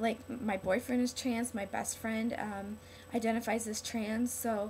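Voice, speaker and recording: There is noticeable background noise as a woman speaks at a fairly slow pace. Her fairly high voice stays in a flat monotone. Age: 20s. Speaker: vlogger. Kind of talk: casual vlog monologue. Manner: halting, many fillers.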